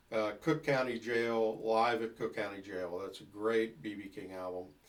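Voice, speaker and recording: Here a man talks at a moderate pace, his medium pitch showing ordinary variation. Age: 60s. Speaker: blues guitarist. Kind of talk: casual talk about music history. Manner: hesitant, many fillers.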